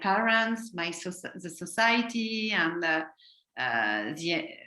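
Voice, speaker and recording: In a French accent, a woman speaks very slowly with a bright, sharp tone. Her medium-pitched voice shows ordinary pitch variation. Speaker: guest coach. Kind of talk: video call interview. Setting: video call. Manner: halting.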